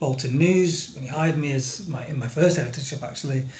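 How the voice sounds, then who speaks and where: A somewhat breathy man with a northern English accent, fairly high pitch and fairly even intonation, in audible room echo. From northern England. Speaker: newspaper editor. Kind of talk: webinar presentation. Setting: video call.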